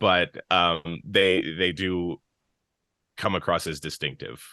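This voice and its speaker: A man talks at a very slow pace in a very deep, low pitch with vocal fry. His intonation stays fairly even. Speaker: audiobook narrator and theater actor. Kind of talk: casual interview chat.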